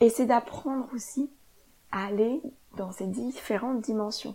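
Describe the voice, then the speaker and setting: At a moderate pace, a woman talks with a dark, mellow tone and a fairly high pitch. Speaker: yoga teacher and podcast host. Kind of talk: solo podcast monologue.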